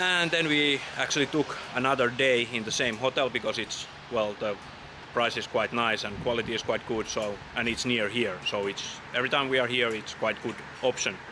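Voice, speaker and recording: Amid noticeable background noise, a man with a Finnish accent speaks at a moderate pace in a medium pitch with ordinary pitch variation. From Finland. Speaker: travel vlogger. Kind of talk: casual travel vlog narration. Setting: outdoors on a walk. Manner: halting, with fillers.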